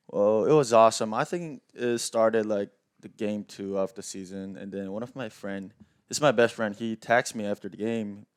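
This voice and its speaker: Speaking with a Korean accent, a man talks at a fairly low pitch and moderate pace, with ordinary pitch variation, big swings in loudness, and a dry, close sound with no echo. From South Korea. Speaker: professional baseball player. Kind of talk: podcast interview.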